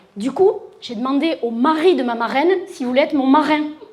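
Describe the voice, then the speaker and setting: Audible room echo surrounds a woman's voice. She speaks at a high pitch with ordinary variation. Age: 50s. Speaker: sexologist. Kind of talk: conference talk. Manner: animated, talks with her hands.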